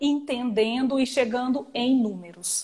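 With a plain, everyday voice, a woman talks at a fairly slow pace, her fairly high pitch held in fairly even intonation. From Goiânia, Brazil. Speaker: tax lawyer. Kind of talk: live-stream legal discussion. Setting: Instagram live video stream.

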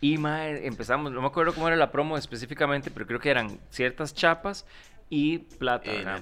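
In a Costa Rican accent, a man speaks at a fairly quick pace with a fairly high pitch, a bright, sharp tone, ordinary pitch variation and big swings in loudness. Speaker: comedy podcast host. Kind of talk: casual chat.

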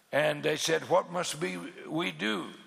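Against noticeable background noise, a man talks in an animated tone with very wide pitch swings. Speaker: pastor. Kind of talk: sermon. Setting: church conference stage with audience. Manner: animated, fervent pulpit delivery with emphatic repetition and pauses.

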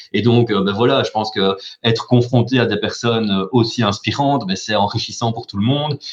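Medium pitch and fairly even intonation from a man with a plain, everyday voice. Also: moderate pace. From Belgium, Charleroi. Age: 30s. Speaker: business club director. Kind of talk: interview.

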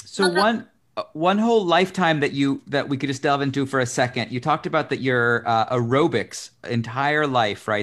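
With a plain, everyday voice, a man in an American accent speaks at a fairly quick pace with a fairly high pitch and lively intonation, on a very clean recording with a silent background. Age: 40s. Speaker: talk show host. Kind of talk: interview.

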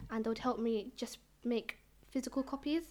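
On a very clean recording with a silent background, a woman with a London accent speaks at a high pitch. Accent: London English, multicultural London. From East London. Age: young. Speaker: poet and author. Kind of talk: interview.

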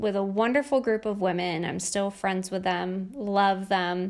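A woman's medium-pitched voice with a Northeastern US accent, moderate pace, and a very clean recording over a silent background. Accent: American (Northeast). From New York State. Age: 30s. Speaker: life coach and podcast host. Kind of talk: casual monologue.

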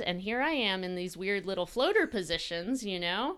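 Bright and sharp in tone, a woman with an American accent talks at a fairly quick pace and medium pitch with lively intonation. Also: very clean recording, silent background. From US South, coastal Georgia. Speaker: gym owner and fitness coach. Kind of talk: casual interview. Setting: gym. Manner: animated.

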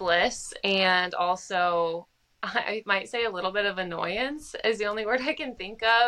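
Very slow speech in an American accent, bright and sharp in tone. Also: woman. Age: 20s. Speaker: podcast co-host, food blogger.

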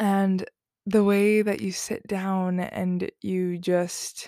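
Recorded very cleanly with a silent background and a dry, close sound with no echo, a woman speaks at a medium pitch in a dark, mellow tone. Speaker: spiritual podcast host. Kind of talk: solo spiritual talk.

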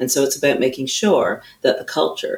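A woman talks with a Canadian accent. Her pace is moderate. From Canada. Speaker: chief executive of an equality and inclusion network. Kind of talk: interview.

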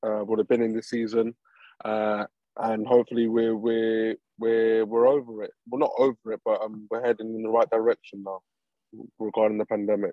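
A man's fairly quick, medium-pitched delivery with a London accent and monotone, flat intonation. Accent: English (London area). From England (from age six or seven, born in Colombia). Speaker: professional footballer. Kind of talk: interview. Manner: hesitant, many ums.

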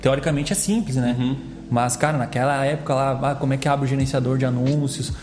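Very fast and very even in loudness, a man speaks at medium pitch with fairly even intonation, against noticeable background noise and audible room echo. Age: 20s. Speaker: entrepreneur. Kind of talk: casual chat.

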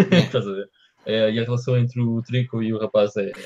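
A man's somewhat breathy voice at medium pitch, fairly quick in pace, with a dry, close sound and no echo. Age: 30s. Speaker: podcast co-host. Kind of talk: casual chat. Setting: live-streamed podcast recording.

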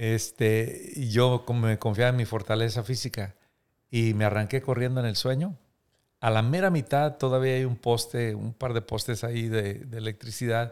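A man with an ordinary speaking voice, medium pitch, fairly even intonation and a moderate pace, on a very clean recording with a silent background. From Mexico, Coahuila (Múzquiz). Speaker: pastor and author. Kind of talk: interview testimony.

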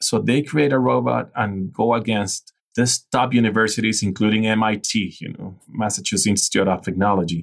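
A man's medium-pitched voice in a Venezuelan accent, with ordinary pitch variation and a moderate pace. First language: Spanish. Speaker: innovation and leadership specialist. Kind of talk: interview.

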